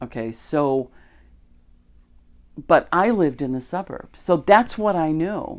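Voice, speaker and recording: A woman's very deep, low voice with a Chicago accent, very wide pitch swings and a very slow pace, on a very clean recording with a silent background. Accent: Chicago-area American. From US Midwest, Chicago area, Illinois. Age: 60s. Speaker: podcaster, religious teacher. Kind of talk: casual monologue. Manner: conversational, with fillers.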